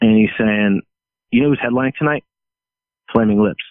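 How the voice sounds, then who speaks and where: A man speaks with an American accent, his pitch fairly low. His intonation stays fairly even. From New Jersey and St. Louis. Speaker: touring guitarist. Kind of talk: casual chat.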